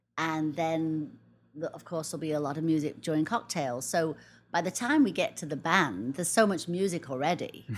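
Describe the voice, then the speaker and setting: Speaking at a moderate pace with an English accent, a woman uses a very deep, low pitch with ordinary pitch variation on a very clean recording with a silent background. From England. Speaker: wedding planner. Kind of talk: casual interview. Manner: hesitant, with frequent fillers.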